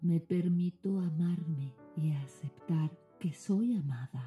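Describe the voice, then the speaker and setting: Music plays in the background as a woman whispers at a very slow pace. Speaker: relationship coach. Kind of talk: guided meditation. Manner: whispering.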